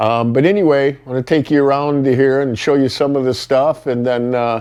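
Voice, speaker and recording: A man with a dark, mellow tone speaks at a medium pitch and a moderate pace, his intonation fairly even. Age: 50s. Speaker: vlogger and mechanic. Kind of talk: casual vlog talk to camera. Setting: at home in front of fireplace. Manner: casual with many fillers.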